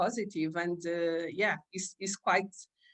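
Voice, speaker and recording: A woman with a Portuguese accent speaks at a fairly slow pace. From Portugal. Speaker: aura reader and vision board creator. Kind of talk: interview. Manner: halting, many fillers.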